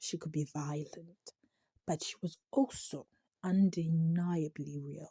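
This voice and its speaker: A woman with a non-native accent speaks very slowly in a dark, mellow, somewhat breathy tone at a fairly low pitch. The sound is dry and close, with no echo. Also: ordinary pitch variation. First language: not English. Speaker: TV series reviewer. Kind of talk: commentary reading from a script with asides. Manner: halting, stumbles over words.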